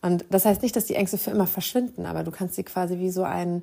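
This woman has a dark, mellow, warm tone at a medium pitch. Her intonation stays fairly even. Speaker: podcast host and meditation guide. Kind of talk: guided meditation. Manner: soothing, calm, gentle and slow-paced with long pauses; warm, intimate and reassuring.

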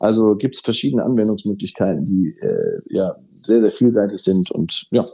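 Speaking at a moderate pace with hardly any pauses, a man with a fairly low pitch and a dark, mellow tone shows ordinary pitch variation. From Ruhr area, Germany. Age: 30s. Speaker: fireworks company managing director. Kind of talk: interview. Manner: halting, many fillers.

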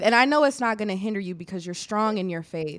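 Very clean recording, silent background, and lively intonation. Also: woman. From Illinois. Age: 20s. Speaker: podcast host. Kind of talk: casual interview. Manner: animated.

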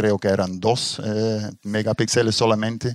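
The speech moves at a moderate pace. Its sound is dry and close, with no echo. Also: man. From Belgium, Ghent (Flemish region). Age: 60s. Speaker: astrophotographer, retired engineer. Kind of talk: interview conversation. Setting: at his private observatory. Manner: halting, many fillers.

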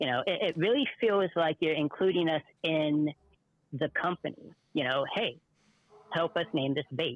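A man with an American accent speaks at a moderate pace with long, frequent pauses, a fairly high pitch, ordinary pitch variation and very even loudness. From Oregon. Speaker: caller, angler. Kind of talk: casual chat.

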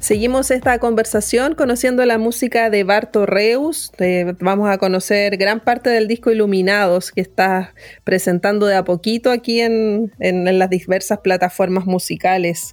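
An ordinary speaking voice: a woman at medium pitch, with ordinary pitch variation, speaks at a moderate pace with hardly any pauses. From Chile, born in Temuco, moved to Santiago around 9. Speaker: radio host, journalist. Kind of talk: radio interview.

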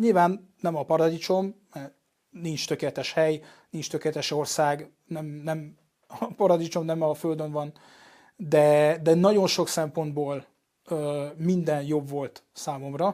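Fairly high-pitched yet dark and mellow in tone, a man speaks at a very slow pace with fairly even intonation in a very clean recording with a silent background. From France, Paris. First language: French (speaking Hungarian). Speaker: journalist. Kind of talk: interview. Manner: halting.

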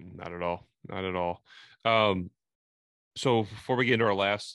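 A man with an American accent and an ordinary speaking voice, fairly low in pitch with ordinary pitch variation, in a dry, close sound with no echo and a quiet background. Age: 30s. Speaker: podcast host. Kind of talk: casual interview chat.

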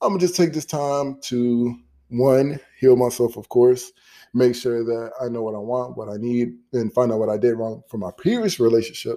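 A man talks at a moderate pace in a medium pitch, with ordinary pitch variation. His tone is dark and mellow. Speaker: podcaster. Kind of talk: casual solo monologue. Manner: casual, conversational.

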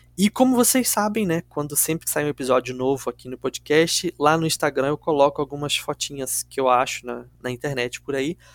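A man with a normal speaking voice talks at a moderate pace and a fairly high pitch, with ordinary pitch variation and hardly any pauses. The recording is very clean and dry, close with no echo, and the background is silent. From Rio de Janeiro city, Brazil. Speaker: true crime podcast host. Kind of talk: storytelling podcast chat.

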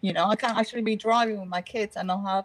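Speaking at a very fast pace, a woman sounds somewhat breathy, with ordinary pitch variation. The sound is dry and close, with no echo. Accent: non-native. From Britain. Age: 40s. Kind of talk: casual chat.

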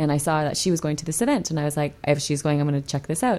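This voice has a dark, mellow tone and fairly even intonation. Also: woman. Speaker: speech pathologist and yoga teacher. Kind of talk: casual chat. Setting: studio.

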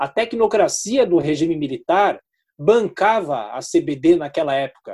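Very slow is the pace of this man's speech. His pitch rises and falls across a very wide range. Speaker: radio journalist and news anchor. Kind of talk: interview.

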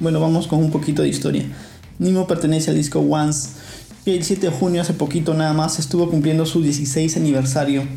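With audible room echo and noticeable background noise, a man talks fairly quickly in a fairly high voice with fairly even intonation. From Peru. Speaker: podcast host. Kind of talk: podcast monologue.

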